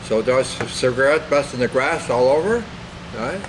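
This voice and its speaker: With an American accent and lively intonation, a man talks at a fairly quick pace against noticeable background noise. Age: 80s+. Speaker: war veteran, retired farmer. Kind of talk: oral history interview. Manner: halting.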